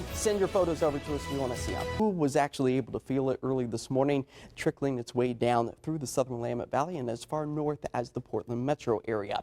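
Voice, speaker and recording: With music in the background, a man with an American accent talks at a very fast pace with hardly any pauses and lively intonation, in a dry, close sound with no echo. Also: medium pitch for a man. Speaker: television meteorologist. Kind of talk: TV weather broadcast.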